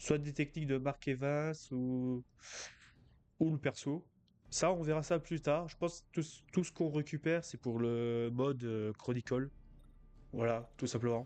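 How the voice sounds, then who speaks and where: Very slow and marked by long, frequent pauses, a man speaks at a fairly high pitch with ordinary pitch variation. His tone is dark and mellow, and the background is quiet. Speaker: let's play gamer. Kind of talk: gameplay commentary. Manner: halting, many fillers.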